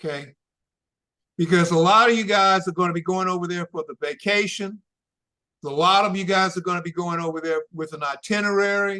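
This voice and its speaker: A man's high-pitched voice with a bright, sharp tone, fairly even intonation and a fairly quick pace. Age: 70s. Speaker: travel consultant. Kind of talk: interview giving practical advice. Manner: conversational.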